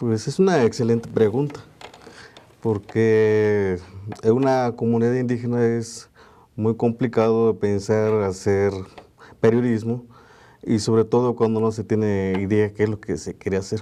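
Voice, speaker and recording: At a fairly slow pace with long, frequent pauses, a man speaks at medium pitch in a dark, mellow tone with fairly even intonation. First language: Tu'un savi (Mixtec) (speaking Spanish). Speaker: journalist. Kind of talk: interview. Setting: studio. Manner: hesitant, many fillers.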